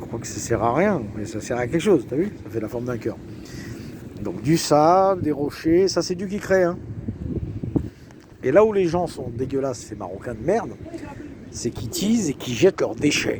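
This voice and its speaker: A man with a fairly high pitch, very wide pitch swings, big swings in loudness, a moderate pace and long, frequent pauses. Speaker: self-proclaimed preacher vlogger. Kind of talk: casual monologue, religious warning vlog. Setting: outdoors on a beach. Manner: animated.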